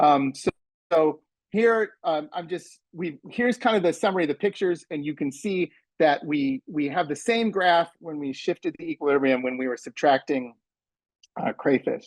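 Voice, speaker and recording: With an American accent, a man with a fairly high pitch talks at a moderate pace and with lively intonation, the sound dry and close with no echo. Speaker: math professor. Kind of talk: conference presentation. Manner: halting, many fillers and repeats; sarcastic, in jest.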